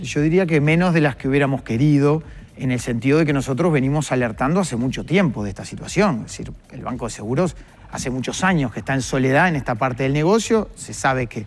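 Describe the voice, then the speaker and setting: A man talks at a very fast pace with lively intonation and a fairly high pitch, over noticeable background noise. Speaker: economist, workers' representative. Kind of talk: TV interview. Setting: TV studio. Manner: explanatory, measured.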